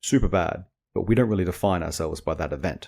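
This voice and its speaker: On a very clean recording with a silent background, a man with a very deep, low pitch and vocal fry talks at a very fast pace with ordinary pitch variation. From Australia. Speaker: podcast host and indie author. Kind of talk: casual podcast monologue. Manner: rambling, filler-heavy informal speech.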